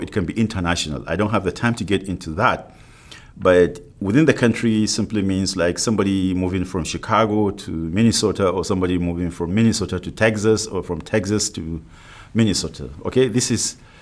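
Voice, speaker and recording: Talking at a fairly quick pace, a man with a non-native accent has a fairly low pitch. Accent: non-native, foreign. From Africa. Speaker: university professor. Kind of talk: lecture.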